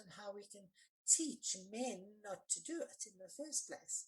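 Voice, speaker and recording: Somewhat breathy delivery at a fairly slow pace. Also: woman. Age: 60s. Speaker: forgiveness coach and anti-violence activist. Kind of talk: podcast interview, personal testimony.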